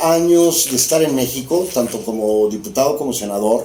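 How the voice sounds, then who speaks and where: With noticeable background noise and audible room echo around him, a man speaks at a fairly slow pace. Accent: Mexican. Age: 60s. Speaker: former politician. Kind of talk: interview conversation.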